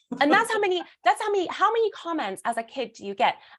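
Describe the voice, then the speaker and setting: The speaker races along at a very fast pace with a British accent and very wide pitch swings. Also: woman. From Britain. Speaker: burlesque performer and speaker. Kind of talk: casual interview chat. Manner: animated.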